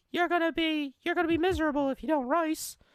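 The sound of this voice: A man puts on a squeaky character voice at an extremely high pitch. He rattles along at a very fast pace.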